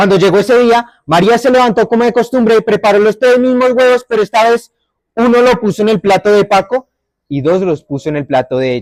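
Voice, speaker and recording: In a Bogotá accent, a man with a high pitch speaks at a fairly quick pace with lively intonation and a dry, close sound with no echo. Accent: Bogotá (rolo). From Bogotá area, Colombia. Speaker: storyteller. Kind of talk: oral storytelling.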